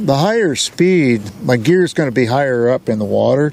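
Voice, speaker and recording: Against noticeable background noise, a man with an American accent talks at a moderate pace, his medium pitch showing ordinary variation. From US Pacific Northwest, Washington. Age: 70s. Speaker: fishing vlogger. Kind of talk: casual vlog narration. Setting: outdoors on a boat on a lake. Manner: relaxed, casual with fillers.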